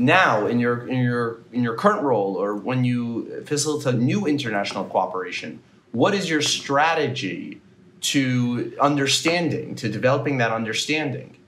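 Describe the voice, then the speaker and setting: A man talks at a moderate pace with an ordinary speaking voice. Light background noise is present. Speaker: podcast interviewer. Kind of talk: interview questions. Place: home room. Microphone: earbuds.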